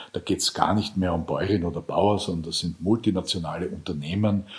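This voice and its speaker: Very deep, low male voice with fairly even intonation. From Lower Austria. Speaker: farmer and EU politician. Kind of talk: interview.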